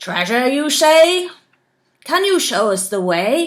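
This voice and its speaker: Loud and high-pitched, a put-on character voice moves at a fairly slow pace with very wide pitch swings. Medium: read story. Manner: blustering, loud.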